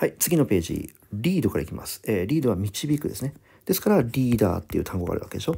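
A man with a medium pitch and a dark, mellow, somewhat breathy tone talks at a very fast pace with very wide pitch swings, on a very clean recording with a silent background. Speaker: English vocabulary teacher. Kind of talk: lecture. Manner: fast, run-on explanation.

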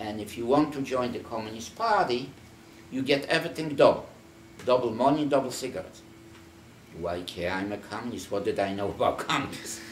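A man speaks with lively intonation, leaving long, frequent pauses. Audible room echo and light background noise surround his voice. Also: fairly quick pace. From Poland. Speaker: Holocaust survivor. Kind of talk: oral history interview; interview answer. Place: home room. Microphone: camera far.

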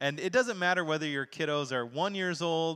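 A man's bright, sharp tone over a quiet background. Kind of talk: announcements to congregation. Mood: warm, upbeat. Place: church. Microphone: handheld.

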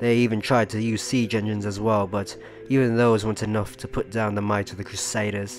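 A man talks at a fairly low pitch and fairly quick pace in a monotone, flat intonation. Music plays in the background. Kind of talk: history sleep story narration. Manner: soft-spoken.

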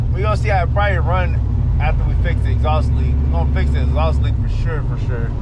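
A man at a fairly quick pace, dry with no echo, over loud background noise. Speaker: car vlogger. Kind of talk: casual vlog chat. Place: car. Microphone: camera far.

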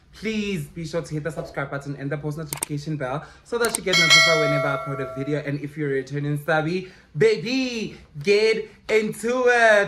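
A man speaks at a fairly quick pace. Noticeable background noise is heard. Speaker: vlogger. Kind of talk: casual vlog chat. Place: home room. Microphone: phone near.

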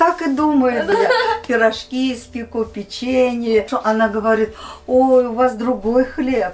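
Over light background noise, a woman speaks very slowly at a high pitch with ordinary pitch variation. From Uzbekistan, ethnic Korean. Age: 70s. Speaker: elderly Koryo-saram woman being interviewed. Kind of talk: interview answer. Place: studio.

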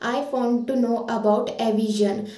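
Audible room echo surrounds a woman with a fairly high pitch who speaks at a moderate pace with fairly even intonation. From India, Karnataka (Shivamogga); Karnataka. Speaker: internship trainee. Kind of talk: testimonial; testimonial statement. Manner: slightly halting with fillers. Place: home room. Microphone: phone near.

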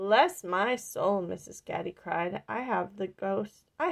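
A person reads aloud. The voice used is natural.

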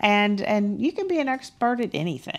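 Speaking with a Texan accent, a woman makes very wide pitch swings. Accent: Texan Southern US. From Texas. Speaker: business founder. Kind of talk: panel discussion. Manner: candid. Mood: motivational, warm. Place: stage. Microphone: headset.

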